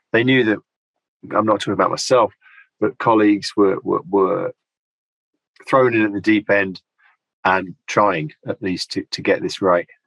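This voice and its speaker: Long, frequent pauses break up a man's fairly low voice, which has ordinary pitch variation and a dry, close sound with no echo. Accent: British. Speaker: linguistics lecturer. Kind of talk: interview. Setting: video call. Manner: fast.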